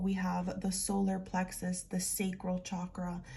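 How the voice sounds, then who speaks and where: This woman speaks at a very slow pace in a medium pitch. Her tone is dark and mellow and somewhat breathy. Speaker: tarot and oracle card reader. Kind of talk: spiritual card reading.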